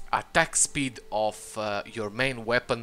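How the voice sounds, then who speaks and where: A man's bright, sharp voice at medium pitch with a non-native accent, fairly slow pace and fairly even intonation. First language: not English. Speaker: gaming channel host. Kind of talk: tutorial. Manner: halting, many fillers.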